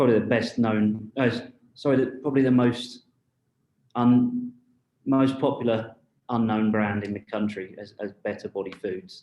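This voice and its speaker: A man with a British accent speaks at a moderate pace in a dark, mellow tone. His intonation is fairly even, with long, frequent pauses. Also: medium pitch for a man. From UK. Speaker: marketing executive. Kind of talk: panel discussion. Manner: halting, many fillers.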